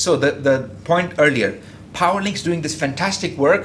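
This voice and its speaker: A man speaks in a somewhat breathy voice with ordinary pitch variation. Room echo can be heard. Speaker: engineer presenting at industry conference. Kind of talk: conference presentation. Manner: fast; halting, many fillers and repetitions.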